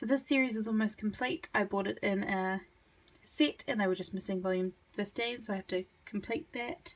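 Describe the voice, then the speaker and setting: A somewhat breathy woman at a moderate pace, with a medium pitch and ordinary pitch variation. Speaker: manga collector video creator. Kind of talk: casual collection showcase.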